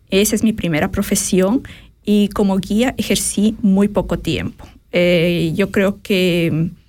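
Her medium-pitched voice carries vocal fry and fairly even intonation, and this woman is heard in a very clean recording with a silent background. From Ecuador, grew up in Quito. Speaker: online business coach. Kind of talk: radio interview.

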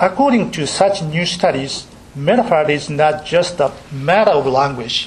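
A man with a Japanese accent, fairly high-pitched, speaking at a fairly slow pace with lively intonation over noticeable background noise. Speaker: university professor giving lecture. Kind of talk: academic lecture. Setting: lecture hall with audience. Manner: halting, many fillers, self-deprecating.

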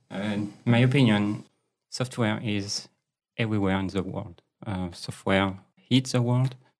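Speaking in a French accent, a man with a fairly low pitch keeps a fairly slow pace and fairly even intonation. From France. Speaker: agile coach. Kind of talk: interview conversation. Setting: studio. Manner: hesitant, many fillers.

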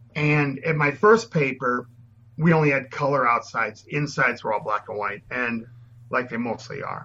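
With an American accent, a man talks at a moderate pace and medium pitch in an unremarkable speaking voice, with ordinary pitch variation. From Minnesota. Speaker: landscape photographer, former photojournalist. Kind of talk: interview.

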